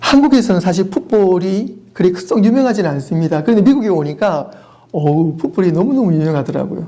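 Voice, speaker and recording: In a Daegu accent, a man with a high pitch speaks at a fairly quick pace in an animated tone with lively intonation. Audible room echo and noticeable background noise are present. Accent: Gyeongsang (Daegu) dialect, noticeable. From South Korea, Daegu. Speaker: pastor. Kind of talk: sermon.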